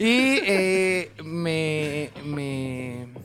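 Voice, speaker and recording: Lively intonation over music in the background. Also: man. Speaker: podcast co-host. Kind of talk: casual chat.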